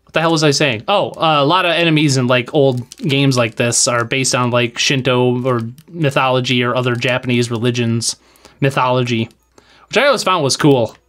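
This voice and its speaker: With music playing in the background, a man with a slight Wisconsin accent speaks at a fairly quick pace. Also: medium pitch for a man, ordinary pitch variation. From Wisconsin, US Midwest. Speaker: game streamer. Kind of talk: live game stream chat. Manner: animated, casual.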